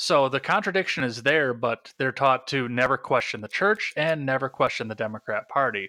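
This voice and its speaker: Delivered with an American accent at a moderate pace and hardly any pauses, the speech has lively intonation and a bright, sharp tone, with a very clean recording, silent background, and a dry, close sound with no echo. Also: man, medium pitch for a man. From Wisconsin, US Midwest. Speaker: podcast host. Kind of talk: casual interview.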